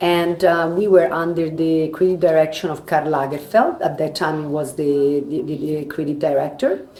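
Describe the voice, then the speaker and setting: With a Roman accent, a woman speaks at a very deep, low pitch with fairly even intonation and hardly any pauses. Noticeable background noise and audible room echo fill the recording. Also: moderate pace. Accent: Italian (Roman) accent in English. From Italy, Rome. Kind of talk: interview. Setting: live at a trade fair. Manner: halting.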